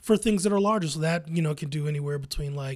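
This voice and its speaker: A very fast, somewhat breathy man with an American accent, a fairly high pitch and ordinary pitch variation, on a very clean recording with a silent background. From US Midwest, Columbus, Ohio. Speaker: poet and arts organizer. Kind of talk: interview.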